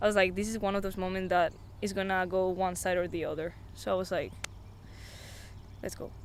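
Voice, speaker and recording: At a moderate pace, a woman speaks at a medium pitch with a Spanish accent. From Spain. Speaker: amateur golfer, college student. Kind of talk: interview. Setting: outdoors on the golf course.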